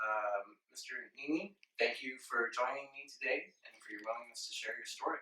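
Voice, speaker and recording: His loudness rises and falls sharply. The man keeps up a fairly quick pace. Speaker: oral historian, PhD candidate in American history. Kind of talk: interviewer questions.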